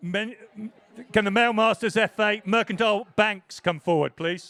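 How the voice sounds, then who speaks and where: Speaking at a moderate pace in an English accent, a man uses a high pitch with ordinary variation. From England. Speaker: presentation announcer at rowing regatta. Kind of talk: live event announcing and crew interviews.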